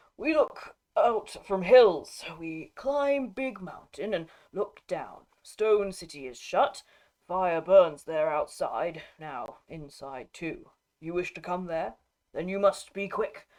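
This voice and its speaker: The put-on character voice is guttural, at middle pitch and a fairly slow pace. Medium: read story. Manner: halting broken speech.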